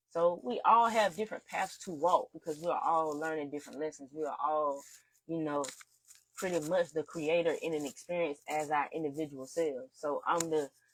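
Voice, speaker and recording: A moderate pace in a strong Southern US accent. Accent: heavy Southern country. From US South, rural eastern North Carolina. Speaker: spiritual teacher, occult instructor. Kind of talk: casual livestream talk. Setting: live stream. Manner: casual, conversational.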